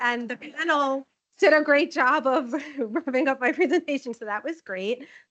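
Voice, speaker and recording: A woman talks at a moderate pace. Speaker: nursing informatics manager presenting. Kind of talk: conference presentation. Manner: loud.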